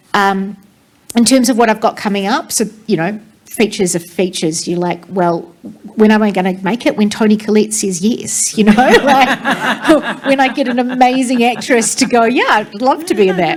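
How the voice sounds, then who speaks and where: Over noticeable background noise, a voice with a New Zealand accent talks at a moderate pace with ordinary pitch variation. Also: woman, fairly high pitch for a woman. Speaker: theatre director. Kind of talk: panel discussion.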